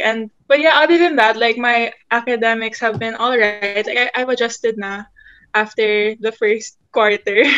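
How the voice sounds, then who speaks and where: The setting around her is quiet. This woman's intonation is lively. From Philippines. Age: young. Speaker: college student; podcast guest. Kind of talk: casual chat. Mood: cheerful, a bit shy. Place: home room. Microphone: video call.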